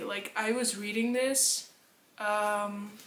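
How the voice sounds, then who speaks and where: A woman speaks at a fairly high pitch with a Dutch accent and monotone, flat intonation. Audible room echo and noticeable background noise surround her voice. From Netherlands. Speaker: book vlogger. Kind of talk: casual chat.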